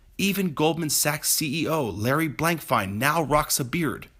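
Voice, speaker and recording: A fairly high-pitched male voice with vocal fry at a fairly slow pace, on a very clean recording with a silent background. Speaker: real estate professional. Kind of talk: personal essay reading.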